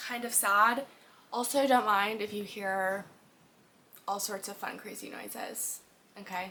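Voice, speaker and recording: A woman's bright, sharp voice at medium pitch, animated in tone, at a fairly slow pace with long, frequent pauses and big swings in loudness. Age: 20s. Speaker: podcast host. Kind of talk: casual monologue.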